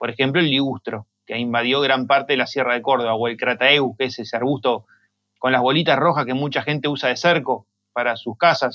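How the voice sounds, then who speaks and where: A man talks at a fairly quick pace in an ordinary speaking voice. His medium pitch holds fairly even intonation. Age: 40s. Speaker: native plant grower. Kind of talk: interview.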